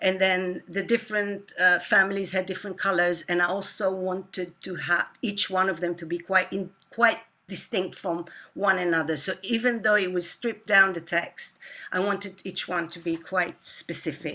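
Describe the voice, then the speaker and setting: A woman with a non-native accent, medium pitch, bright and sharp tone, fairly even intonation and a moderate pace. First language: not English. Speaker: composer and artist. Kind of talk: interview. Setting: online talk. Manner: halting.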